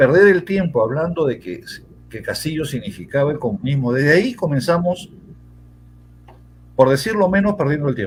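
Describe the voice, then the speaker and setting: His voice somewhat breathy, a man moves at a fairly quick pace, his pitch swinging very widely. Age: 60s. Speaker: former congressman and lawyer. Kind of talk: political interview. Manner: hesitant, repeats words.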